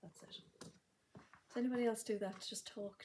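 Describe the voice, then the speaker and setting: A soft-spoken, somewhat breathy female voice of medium pitch and a dark, mellow tone. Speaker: sewing box shop owner and live stream host. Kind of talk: live stream chat. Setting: livestream. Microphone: may be too quiet.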